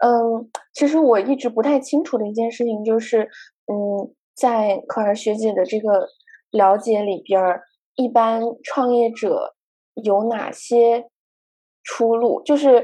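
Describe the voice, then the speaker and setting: A woman speaks at a very slow pace with a fairly high pitch and a dark, mellow tone. Her intonation is fairly even, and the background is quiet. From China, Guangzhou. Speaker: podcast host. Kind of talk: casual chat.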